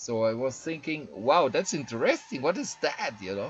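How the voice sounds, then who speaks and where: This man speaks with a German accent. He keeps a moderate pace. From Germany. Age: 50s. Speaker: activist video blogger. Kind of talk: casual monologue. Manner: halting.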